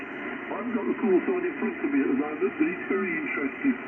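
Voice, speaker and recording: Against noticeable background noise, a man speaks at an extremely high pitch with very wide pitch swings. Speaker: amateur radio operator. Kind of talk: radio contact conversation. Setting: satellite radio link. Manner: relaxed, chatty.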